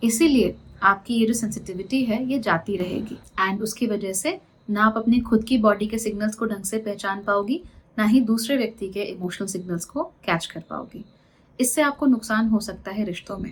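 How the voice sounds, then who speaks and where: A woman's somewhat breathy voice, fairly high in pitch. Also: ordinary pitch variation, moderate pace. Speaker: astrologer. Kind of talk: monthly horoscope reading to camera. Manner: conversational, mixing English phrases.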